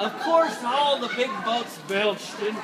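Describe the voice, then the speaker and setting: Crowd noise fills the background as a man talks at a very slow pace with ordinary pitch variation. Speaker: storyteller. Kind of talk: live children's storytelling to an audience. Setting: busy vendor booth with background noise.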